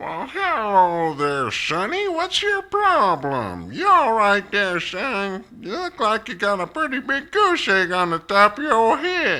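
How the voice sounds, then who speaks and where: A man puts on a character voice at a high pitch. He talks at a fairly slow pace with very wide pitch swings. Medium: audio drama. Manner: folksy, gruff.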